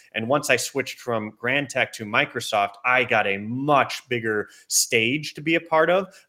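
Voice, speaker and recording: At a moderate pace, a man speaks in a bright, sharp tone with ordinary pitch variation, on a very clean recording with a silent background. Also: medium pitch for a man. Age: 30s. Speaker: manufacturing industry executive. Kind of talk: interview.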